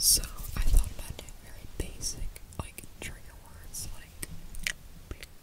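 A woman whispers at a fairly slow pace. Long pauses come frequently. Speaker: ASMR creator. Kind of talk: ASMR trigger words. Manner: whispered. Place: home room. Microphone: studio mic.

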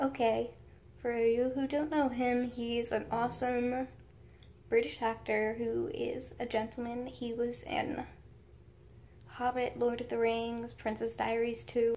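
A woman with an American accent speaks in a high voice with a dark, mellow tone. Her delivery is fairly slow and monotone, with flat intonation over light background noise. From United States. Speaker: YouTuber. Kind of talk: story time vlog. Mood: excited, giddy storytelling. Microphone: phone near.

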